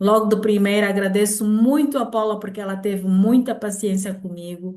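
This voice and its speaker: Medium in pitch, this woman has an ordinary speaking voice with fairly even intonation. Her loudness swings a lot as she keeps a moderate pace. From Angola. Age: 60s. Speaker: grandmother, product user. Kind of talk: testimony.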